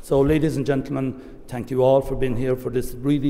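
A man with an Irish accent and a medium pitch. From Ireland. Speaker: government minister. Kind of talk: formal speech. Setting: stage with audience. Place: hall. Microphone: podium.

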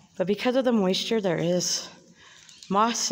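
A woman's pitch varies in an ordinary way as she goes at a fairly slow pace. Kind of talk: casual narrated tour. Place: tunnel cave. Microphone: phone near.

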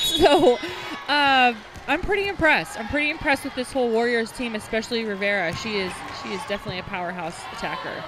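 Someone talks at a very fast pace with noticeable background noise behind them. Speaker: volleyball color commentator. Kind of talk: live sports commentary. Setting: arena broadcast.

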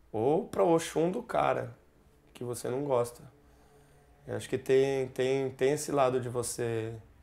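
With a dark, mellow tone, a man talks at a fairly slow pace, leaving long, frequent pauses. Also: ordinary pitch variation. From Brazil. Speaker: musician; interviewee. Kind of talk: interview. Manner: halting.

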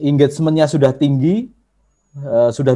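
A man's dark, mellow voice at a moderate pace, with ordinary pitch variation over a quiet background. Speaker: workshop trainer on social media marketing; presenter. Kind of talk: online workshop lecture; lecture. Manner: conversational with frequent filler hesitations. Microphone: video call.

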